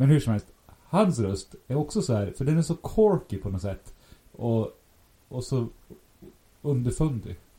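A man speaks with a dark, mellow tone that is somewhat breathy. His pitch swings very widely, with long, frequent pauses. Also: medium pitch for a man, fairly slow pace. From Sweden, Västerås. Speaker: podcast co-host. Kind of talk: casual chat. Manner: kind, caring tone.

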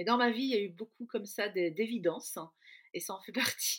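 With ordinary variation in her pitch, a woman speaks fairly high. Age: 50s. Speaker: adoptive mother. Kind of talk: testimony. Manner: halting.

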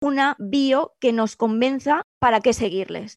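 A woman's high-pitched voice in a dry, close sound with no echo. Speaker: professional photographer and social media coach. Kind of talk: interview, tutorial-style explanation.

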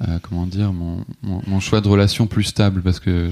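A man speaks at a fairly quick pace with a very deep, low pitch. His tone is dark and mellow, and his intonation is fairly even. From France, Alsace. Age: 30s. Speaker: hotel receptionist. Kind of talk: casual interview. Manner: halting, many hesitations.

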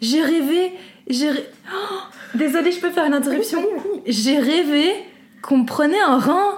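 A woman's high pitch and lively intonation at a fairly slow pace, with long, frequent pauses and audible room echo. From Belgium, Brussels. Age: 20s. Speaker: law student. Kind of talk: casual chat.

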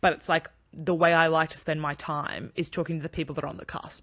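A woman speaks at a very fast pace with an Australian accent and a fairly low pitch. Her bright, sharp tone is captured on a very clean recording with a silent background. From country town, Australia. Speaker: podcast co-host. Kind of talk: casual chat.

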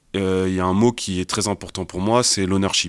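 On a very clean recording with a silent background, a man speaks at a fairly low pitch. His pace is fairly slow, and the sound is dry and close with no echo. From Paris suburbs (Val-de-Marne). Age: 30s. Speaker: entrepreneur, agency co-founder. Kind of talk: casual interview. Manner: halting, repeats words.

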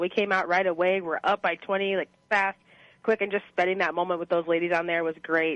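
A woman's normal speaking voice at medium pitch, fairly quick and fairly even in intonation, with a dry, close sound and no echo. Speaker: college dean, former basketball player. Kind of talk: interview. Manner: friendly, casual with fillers like 'um' and 'like'.

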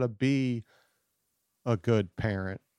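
A man with a Southern US accent at a very slow pace, with ordinary pitch variation, in a very clean, silent recording with a dry, close sound and no echo. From US South, Louisiana. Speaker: author and comedian. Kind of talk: casual chat. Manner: casual, slangy.

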